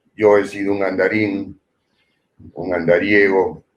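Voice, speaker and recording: A man speaks very slowly at a fairly low pitch. His voice is somewhat breathy. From Peru (Lima). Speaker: poet and writer. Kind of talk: interview.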